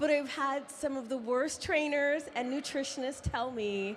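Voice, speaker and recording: Talking at a fairly slow pace, the woman has an unremarkable speaking voice with ordinary pitch variation. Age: 50s. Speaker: audience member asking question. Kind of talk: audience question.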